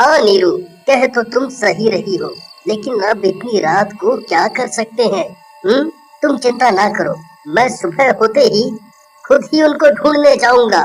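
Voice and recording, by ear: Over music in the background, a man uses a cartoonish character voice with an extremely high pitch and lively intonation. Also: moderate pace.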